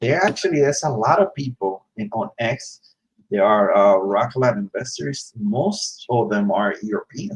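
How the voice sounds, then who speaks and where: A man speaks at a moderate pace in a medium-pitched, somewhat breathy voice that swings very widely in pitch. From Dominican Republic. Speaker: stock investing livestream co-host. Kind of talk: casual livestream chat.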